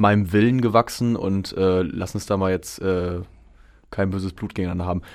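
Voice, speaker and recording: Moderately paced, a man talks with a fairly low pitch and fairly even intonation. He has an unremarkable speaking voice. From Germany, Hameln (Lower Saxony). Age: 20s. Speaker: pop musician. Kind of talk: radio interview. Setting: radio studio.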